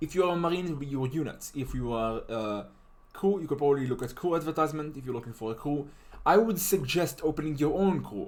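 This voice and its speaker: A man with a non-native accent speaks very fast at a fairly high pitch with lively intonation. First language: not English. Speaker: game tutorial maker. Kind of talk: tutorial. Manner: casual, halting with fillers.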